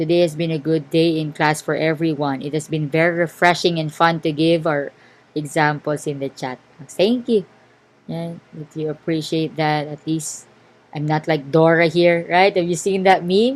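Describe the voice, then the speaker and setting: A woman with a very deep, low pitch speaks in a serious tone at a moderate pace, with fairly even intonation but big swings in loudness. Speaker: college teacher. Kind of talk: online class. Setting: video call.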